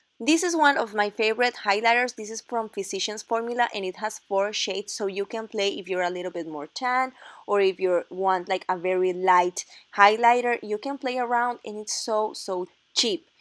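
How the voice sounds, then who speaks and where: A woman with a Spanish accent, fairly high in pitch, ordinary pitch variation and a moderate pace, on a dry, close recording with no echo and a very clean, silent background. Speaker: makeup artist. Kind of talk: tutorial.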